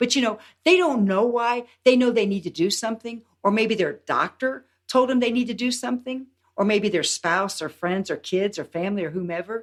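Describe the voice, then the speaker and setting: A woman uses a normal speaking voice at a fairly high pitch. She keeps a moderate pace with lively intonation. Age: 60s. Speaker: health and longevity coach. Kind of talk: podcast interview.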